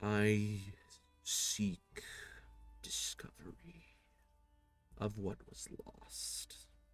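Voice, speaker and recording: Very slow and gravelly, a put-on character voice comes through with faint music in the background. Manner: solemn.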